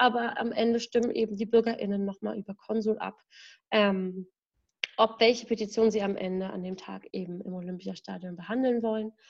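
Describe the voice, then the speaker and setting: A woman with a fairly high, somewhat breathy voice speaks at a moderate pace with fairly even intonation. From Berlin, Germany. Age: 20s. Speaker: staff member of a democracy advocacy group. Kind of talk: casual podcast conversation. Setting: at home in her apartment.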